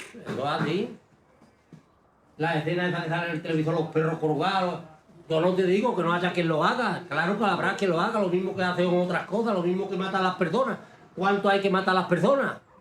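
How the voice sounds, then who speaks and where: A man with a high pitch speaks at a fairly quick pace, with room echo and noticeable background noise audible. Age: 60s. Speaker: galgo hunter and breeder. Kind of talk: documentary interview. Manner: animated.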